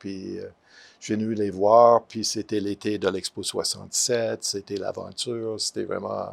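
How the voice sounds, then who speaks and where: The recording is very clean, with a silent background. The speech comes at a fairly slow pace. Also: man. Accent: English. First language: English (speaking French). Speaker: retired art professor. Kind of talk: interview. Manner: halting, many hesitations.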